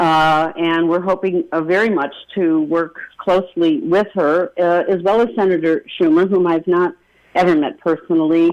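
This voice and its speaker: A woman's fairly low voice with a Rochester accent, moderate pace, very even loudness and fairly even intonation. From western New York, Rochester. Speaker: congressional candidate. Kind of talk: radio interview.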